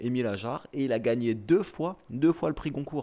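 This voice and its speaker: Ordinary pitch variation from a man with a dark, mellow tone at a fairly slow pace, on a very clean recording with a silent background. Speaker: streamer reading the dictionary. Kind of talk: casual live-stream chat and dictionary reading. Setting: live stream.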